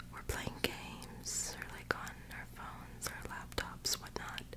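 Whispering very slowly, a woman gets her words out. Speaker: vlogger. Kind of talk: casual vlog chat. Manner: soft, sleepy bedtime murmur. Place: home room. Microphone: phone near.

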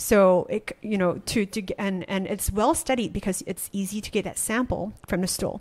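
A woman speaks at a moderate pace with hardly any pauses, her voice somewhat breathy. Her medium pitch shows ordinary variation. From Malaysia. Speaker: startup founder; podcast guest. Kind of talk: interview. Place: studio. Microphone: studio mic.

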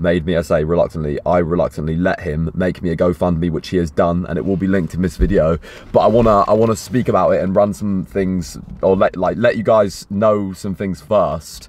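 In a dry sound with no echo, a man speaks at a fairly quick pace in a very deep, low pitch with ordinary pitch variation. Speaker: fitness vlogger. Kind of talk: casual vlog chat. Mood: uneasy, reluctant, sincere. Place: car. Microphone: phone near.

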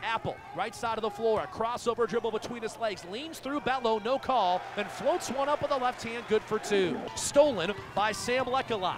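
The voice shows ordinary pitch variation, recorded dry with no echo amid noticeable background noise. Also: man, extremely high pitch for a man. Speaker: play-by-play announcer. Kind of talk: rapid-fire basketball play-by-play highlight commentary. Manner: excitable bursts on big shots. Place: stadium. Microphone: headset.

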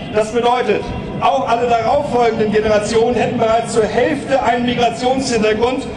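Noticeable background noise behind a man's speech. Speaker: speaker. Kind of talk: political rally speech. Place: stage. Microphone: podium.

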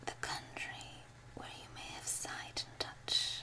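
The voice is whispering. The pace is very slow. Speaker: ASMR reader. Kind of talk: binaural ASMR audiobook reading. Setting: binaural recording with page turning. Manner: whispered. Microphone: studio mic.

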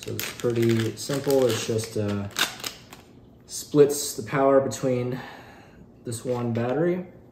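A man speaks slowly at a medium pitch, with a dark, mellow tone. Long, frequent pauses break up his speech, and the room echo is audible. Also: ordinary pitch variation.

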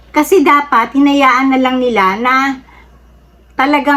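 A woman talks very slowly, with noticeable background noise behind her. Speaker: political commentary vlogger. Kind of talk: casual opinion monologue. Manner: halting with frequent fillers.

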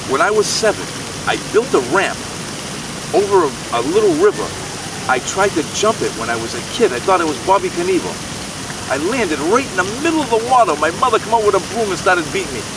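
Over noticeable background noise, a man with a high voice talks at a very fast pace with very wide pitch swings and long, frequent pauses, in a dry sound with no echo. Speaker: storyteller. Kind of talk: casual storytelling to camera. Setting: outdoors. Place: garden. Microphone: phone near.

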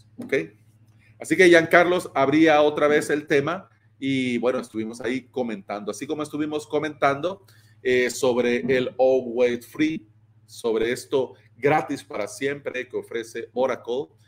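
The man's pace is fairly slow. Pitch variation stays ordinary. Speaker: streamer or community host. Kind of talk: casual livestream commentary. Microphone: earbuds.

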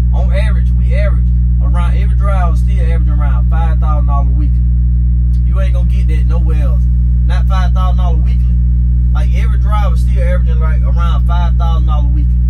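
Loud background noise fills the clip. A man talks at a very fast pace over it. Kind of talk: casual vlog chat. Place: car.

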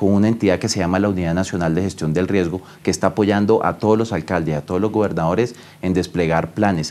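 A dark, mellow tone moves at a fairly quick pace with fairly even intonation. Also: man. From Colombia, La Guajira (Riohacha). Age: 30s. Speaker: government minister. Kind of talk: news interview. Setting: remote call from home. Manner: formal. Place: office. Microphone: lapel.

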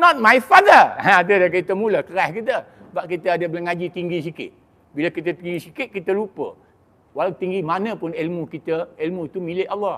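Man with a high pitch and a bright, sharp tone, ordinary pitch variation and a fairly quick pace. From Malaysia. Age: 60s. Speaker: religious preacher. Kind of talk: sermon. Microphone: handheld.

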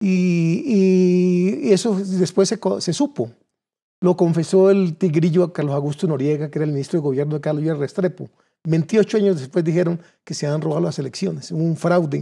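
A man talks at a moderate pace with a high pitch and ordinary pitch variation. His tone is dark and mellow against a quiet background. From Colombia, Cundinamarca (Suesca); Cundinamarca, Colombia. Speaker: political candidate; candidate. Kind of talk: political interview. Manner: halting, with repeated words. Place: studio. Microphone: lapel.

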